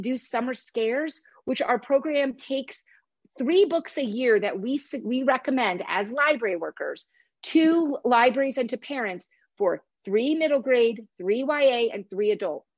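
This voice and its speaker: Against a quiet background, a woman talks at a moderate pace. Her pitch is high, with ordinary variation. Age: 40s. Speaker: author and horror readers' advisory expert. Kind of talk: casual interview.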